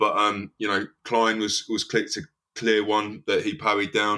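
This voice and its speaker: A man speaks at a moderate pace with a fairly low pitch and a bright, sharp tone. The recording is very clean, with a silent background. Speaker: football fan pundit. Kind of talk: casual chat.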